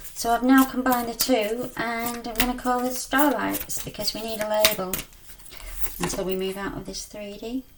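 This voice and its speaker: Amid noticeable background noise, a woman speaks with fairly even intonation and big swings in loudness. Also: fairly high pitch for a woman, moderate pace. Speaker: spiritual card reader. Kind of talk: card reading. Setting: video on own channel. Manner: mumbling at times.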